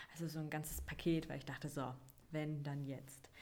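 Audible room echo surrounds a woman with a very deep, low pitch and a dark, mellow tone. She speaks at a moderate pace in a monotone, flat way. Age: 20s. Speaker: podcast host, mother. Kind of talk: personal storytelling monologue.

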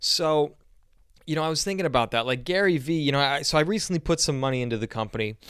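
On a very clean recording with a silent background, a man talks at a very fast pace. His pitch is fairly high, with ordinary pitch variation. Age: 20s. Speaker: podcast host and startup founder. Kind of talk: casual solo talk. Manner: animated.

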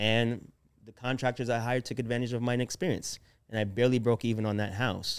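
A man's voice with fairly even intonation at a very fast pace. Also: medium pitch for a man. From born in Jamaica, raised in US. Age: 30s. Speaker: real estate investor. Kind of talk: interview storytelling.

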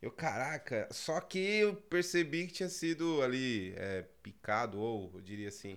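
A man's pitch swings very widely. The background is silent and the recording very clean. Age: 30s. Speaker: pizzeria chain founder, former bank worker. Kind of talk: casual interview. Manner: halting, with many repetitions.

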